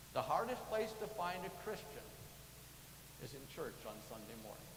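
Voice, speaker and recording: Speech with an American accent comes at a moderate pace. There is audible room echo and noticeable background noise. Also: man. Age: 70s. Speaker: church lay leader. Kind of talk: sermon. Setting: church.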